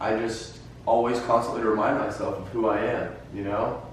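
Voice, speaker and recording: Over noticeable background noise, a man speaks very slowly at a medium pitch with monotone, flat intonation. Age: young. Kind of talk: interview answer. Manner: casual, hesitant.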